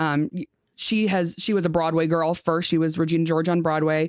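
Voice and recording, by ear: A woman speaks at a fairly quick pace in a low pitch, her tone slightly mellow and the sound dry and close with no echo.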